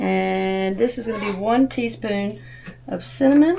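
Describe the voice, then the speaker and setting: With noticeable background noise, a woman talks in a Southern US accent. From US South. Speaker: homesteading cooking channel host. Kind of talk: cooking tutorial. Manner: casual, chatty.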